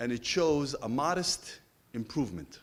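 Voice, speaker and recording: Lively intonation in a man's voice. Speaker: survey researcher presenting findings. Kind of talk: presentation of survey findings. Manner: fast.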